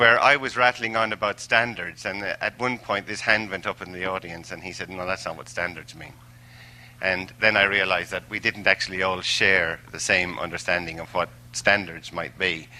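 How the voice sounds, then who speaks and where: In an Irish accent, a man speaks with a very deep, low pitch and a bright, sharp tone. His pace is moderate, his pitch variation ordinary, and his loudness swings widely. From Ireland, Tipperary. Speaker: language assessment expert. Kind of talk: lecture. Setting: stage with audience. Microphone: microphone cutting out.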